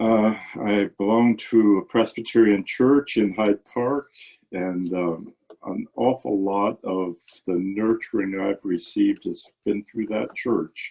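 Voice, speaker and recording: A man speaks at a very slow pace, his pitch fairly low and his intonation fairly even. The tone is dark and mellow, with a dry, close sound and no echo. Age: 80s+. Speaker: retiree. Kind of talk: candid conversation. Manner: halting, many fillers and repeats.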